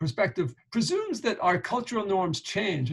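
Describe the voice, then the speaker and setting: A man with a New York accent. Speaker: professor. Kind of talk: lecture.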